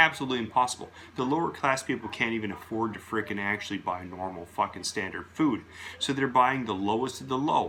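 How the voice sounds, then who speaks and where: The man talks loudly in a bright, sharp tone with ordinary pitch variation. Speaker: video blogger. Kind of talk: casual monologue rant. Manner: slurs words at times.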